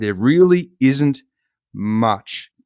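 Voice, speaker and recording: A man's fairly high voice with an Australian accent, with a dry, close sound and no echo. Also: very clean recording, silent background. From Australia, Victoria (Melbourne suburbs). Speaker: agtech company co-founder, engineer. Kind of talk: casual podcast interview.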